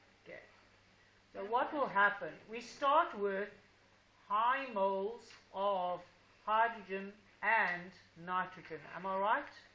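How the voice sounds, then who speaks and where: A woman with a bright, sharp tone and medium pitch speaks very slowly with ordinary pitch variation, long, frequent pauses and big swings in loudness, with audible room echo. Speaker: high school teacher. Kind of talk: classroom lesson. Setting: classroom with students. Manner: slow, deliberate.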